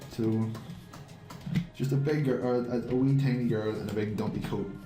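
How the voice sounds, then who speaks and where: Moderate pace and fairly even intonation, with music in the background. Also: man, medium pitch for a man. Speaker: game animator and comic artist. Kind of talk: casual drawing tutorial commentary. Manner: relaxed, rambling, joking.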